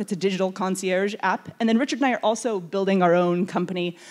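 Moving at a fairly quick pace, the woman's pitch varies in an ordinary way. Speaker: event host introducing a speaker. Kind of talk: speaker introduction at a conference. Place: hall. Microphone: handheld.

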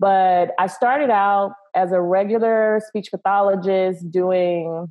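Against a quiet background, a woman with an American accent talks with ordinary pitch variation. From US South (Texas, family from Louisiana). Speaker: speech coach and speech pathologist; speech coach. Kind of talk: casual interview. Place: home room. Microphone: video call.

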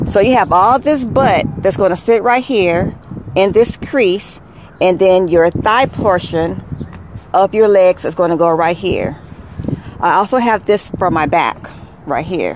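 The speech moves at a fairly slow pace in a dry sound with no echo, over noticeable background noise. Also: woman. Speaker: beauty vlogger. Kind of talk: tutorial. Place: car. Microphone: phone near.

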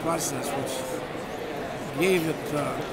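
A man is speaking. Crowd noise fills the background. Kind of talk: interview answer. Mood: warm, amused reminiscing. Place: hall. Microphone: phone near.

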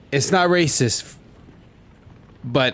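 A man is speaking. His tone is animated. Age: 30s. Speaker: Fortnite streamer and pastor; Fortnite streamer, pastor. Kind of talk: casual gaming livestream chat. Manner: casual, animated. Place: home room. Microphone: studio mic.

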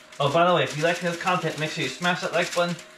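A man talks at a high pitch while noticeable background noise fills the recording. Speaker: home cooking vlogger. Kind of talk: casual vlog chat. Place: kitchen. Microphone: camera far.

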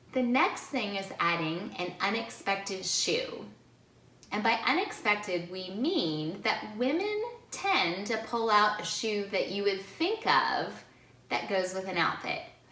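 With audible room echo, a woman speaks at a fairly slow pace. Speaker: presenter. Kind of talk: tutorial. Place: home room.

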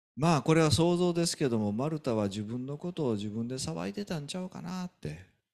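A man talks in a Kansai accent at a fairly quick pace, with hardly any pauses. His pitch is fairly high and swings very widely over a quiet background. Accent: Kansai Japanese. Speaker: pastor. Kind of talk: sermon. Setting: church. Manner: animated. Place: church.

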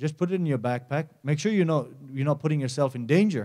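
A man speaks in a fairly high voice with a dark, mellow tone. The background is quiet. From Nepal. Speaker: mountaineer and environmental campaigner; conference speaker. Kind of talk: conference presentation. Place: stage. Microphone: handheld.

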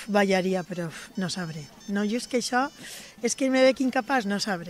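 A woman's fairly high voice at a fairly slow pace, dry sound with no echo. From Valencia, Xeresa; Valencia. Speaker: folk dance teacher. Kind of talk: interview. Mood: warm, slightly bashful. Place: street. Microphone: handheld.

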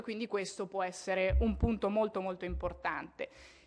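The speaker is a woman. Her pace is fairly quick. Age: 20s. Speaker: politician. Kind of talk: conference speech. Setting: parliament conference hall. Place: hall. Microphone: podium.

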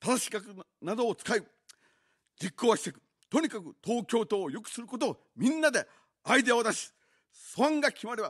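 A man's extremely high voice at a fairly quick pace, with lively intonation, big swings in loudness, long, frequent pauses and a quiet background. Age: 50s. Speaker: political candidate; candidate. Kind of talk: campaign broadcast speech. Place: studio. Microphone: studio mic.

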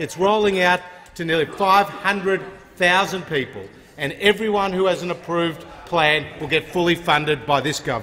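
A man's high-pitched voice with an Australian accent, at a moderate pace with ordinary pitch variation, over light background noise. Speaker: government minister. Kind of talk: parliamentary debate. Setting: parliament chamber. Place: hall. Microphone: podium.

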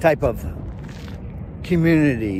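A man speaks at a moderate pace with a dry sound and no echo, though noticeable background noise is present. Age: 60s. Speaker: van-dwelling nomad, YouTuber. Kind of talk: casual movie review to camera. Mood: opinionated, mildly critical. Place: open country. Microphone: lapel.

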